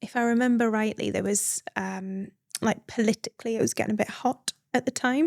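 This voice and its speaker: Woman with a northeast English accent and fairly high pitch, on a very clean recording with a silent background. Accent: northeast English accent noticeable. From northeast England, Northumberland. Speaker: midwife and founder. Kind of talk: podcast interview. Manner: conversational with many fillers.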